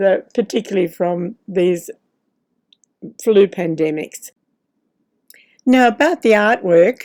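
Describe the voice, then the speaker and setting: Speaking at a very slow pace with long, frequent pauses, a woman uses a medium pitch and lively intonation in an Australian accent. The sound is dry and close, with no echo. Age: 80s+. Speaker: retired professional artist. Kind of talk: casual talk to camera while painting. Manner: gentle, chatty.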